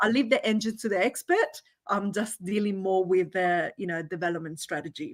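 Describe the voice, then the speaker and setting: A woman with a medium pitch speaks at a fairly quick pace with ordinary pitch variation. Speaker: business consultant and entrepreneur. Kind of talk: interview at online conference.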